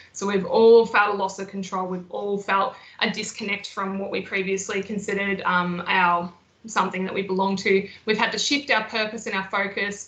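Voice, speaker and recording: Over noticeable background noise, a woman speaks at medium pitch in a monotone, flat intonation. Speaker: mental health nurse and educator. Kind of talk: webinar presentation. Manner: fast.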